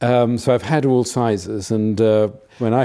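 A man speaks with a dark, mellow tone. His pitch is medium and his intonation fairly even. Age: 70s. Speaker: private equity investor. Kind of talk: casual chat.

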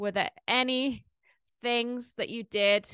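Over a quiet background, a woman with a British accent speaks in a bright, sharp tone, the sound dry and close with no echo. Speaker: podcast host. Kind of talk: casual interview.

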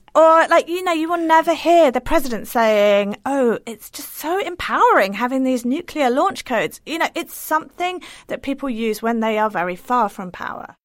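With an English accent, a woman speaks at a moderate pace and a high pitch, with hardly any pauses. Her pitch swings very widely and her loudness shifts a lot. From England. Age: 40s. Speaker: writer. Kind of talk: interview.

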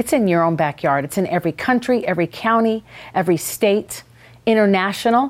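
A woman's plain, everyday voice at a medium pitch, lively in intonation, on a very clean recording with a silent background. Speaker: podcast host. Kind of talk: casual interview chat.

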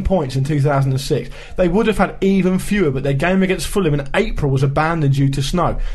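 A man with a British accent at a fairly quick pace, with hardly any pauses, very even loudness and noticeable background noise. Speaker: football podcast co-host. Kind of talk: casual chat.

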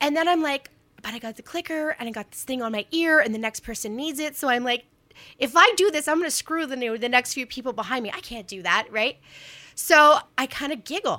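In a raised, projected voice, a woman speaks at a high pitch with a bright, sharp tone, lively intonation, big swings in loudness and a fairly quick pace. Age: 40s. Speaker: writer and storyteller. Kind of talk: casual chat.

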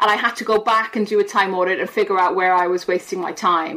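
Speaking at a fairly quick pace, a woman talks with an Irish accent. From Ireland. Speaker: behavioural science professor. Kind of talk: casual interview.

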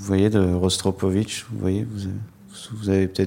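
A man speaks at a moderate pace with a very deep, low pitch, a dark, mellow tone and fairly even intonation. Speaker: writer. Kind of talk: public talk. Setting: stage with audience. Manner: halting.

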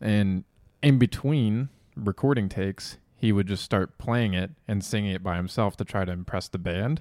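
The sound is dry and close with no echo, on a very clean recording with a silent background. A man with a normal speaking voice talks at a moderate pace and a fairly low pitch, with ordinary pitch variation. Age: 20s. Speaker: podcast co-host. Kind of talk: casual chat.

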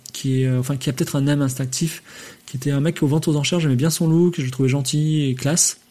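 A man talking at a very fast pace with fairly even intonation. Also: fairly high pitch for a man, very even loudness. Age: 40s. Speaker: podcast host. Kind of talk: live stream monologue. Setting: live on Twitch. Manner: hesitant, many fillers.

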